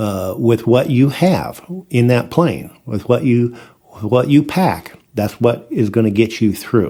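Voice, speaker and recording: With an American accent, a man speaks fairly slowly at a medium pitch, his dark, mellow tone carrying lively intonation. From US Midwest, Iowa. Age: 60s. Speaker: farmer. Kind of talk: casual interview storytelling. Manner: halting, many repeated words.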